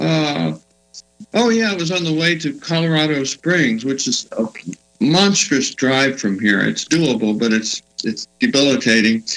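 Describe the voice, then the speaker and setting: Over music in the background, a man with a Texan accent talks at a fairly slow pace, his fairly high pitch making very wide swings. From Texas Hill Country. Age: 60s. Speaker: musician and author. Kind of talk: casual interview.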